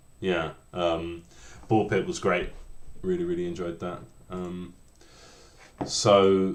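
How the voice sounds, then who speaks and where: A man speaks at a very slow pace with long, frequent pauses. Room echo is audible. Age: 30s. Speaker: indie game developer. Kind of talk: live coding stream with chat. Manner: halting, many repeated words; slow-paced.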